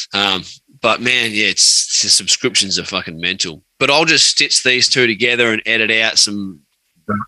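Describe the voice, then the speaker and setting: In an Australian accent, a man talks with a fairly low pitch. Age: 30s. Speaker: podcast host. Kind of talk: casual chat. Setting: video call.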